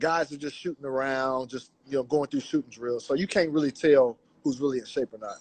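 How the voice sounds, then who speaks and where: Heard dry and close with no echo, a normal speaking voice with an American accent moves at a fairly quick pace with ordinary pitch variation. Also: man, fairly high pitch for a man. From Fresno, California. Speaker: NBA reporter. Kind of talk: casual chat. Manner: relaxed.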